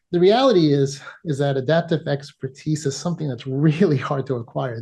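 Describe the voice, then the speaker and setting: A man with a New York accent talks in a fairly high pitch with a dark, mellow, somewhat breathy tone and ordinary pitch variation against a quiet background. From US Northeast (New York). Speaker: emergency physician and PhD candidate presenting research. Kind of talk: academic presentation.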